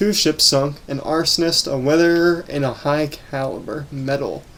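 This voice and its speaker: Noticeable background noise sits behind the recording. A man with a fairly high pitch speaks at a fairly slow pace. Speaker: gaming YouTuber. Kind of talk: gameplay commentary.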